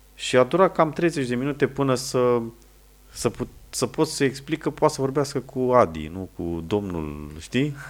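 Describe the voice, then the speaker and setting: Over a silent background in a very clean recording, a man with a medium-pitched voice speaks at a fairly slow pace, his pitch swinging very widely. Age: 30s. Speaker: wedding videographer. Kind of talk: casual chat.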